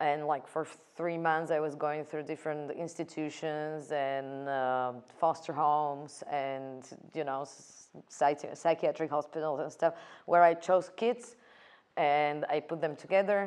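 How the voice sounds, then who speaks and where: A woman's very deep, low voice with a Slovak accent, fairly slow and fairly even in intonation. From Slovakia. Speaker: film director. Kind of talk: interview. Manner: halting, many fillers and repetitions.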